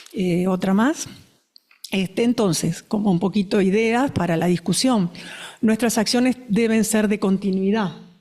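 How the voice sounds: Her tone dark and mellow, a woman speaks at a fairly slow pace with fairly even intonation.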